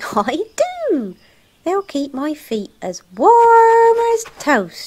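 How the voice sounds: A squeaky, cartoonish character voice, high in pitch, swings very widely. It moves at a very slow pace.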